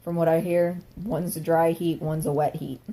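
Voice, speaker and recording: A woman speaks with a dark, mellow tone, somewhat breathy, at a fairly low pitch. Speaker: vlogger. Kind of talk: casual vlog monologue. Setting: at home. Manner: fast; animated.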